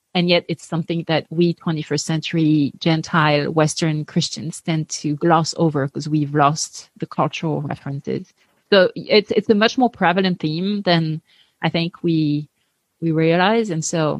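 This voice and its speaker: A French accent at a moderate pace, in dry, close sound with no echo. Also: woman. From France. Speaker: Bible teacher and podcast host. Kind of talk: interview, faith conversation.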